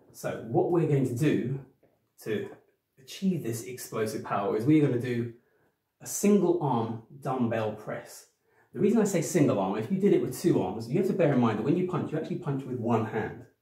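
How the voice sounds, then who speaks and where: Recorded against a quiet background with audible room echo, a man speaks in a dark, mellow, somewhat breathy tone. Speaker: personal trainer. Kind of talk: tutorial. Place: home room. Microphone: camera far.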